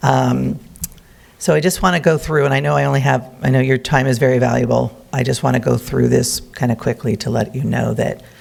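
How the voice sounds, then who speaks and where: Noticeable background noise accompanies a speaker going at a fairly quick pace. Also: man. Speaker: botanic garden community representative. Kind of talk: public presentation. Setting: city council meeting.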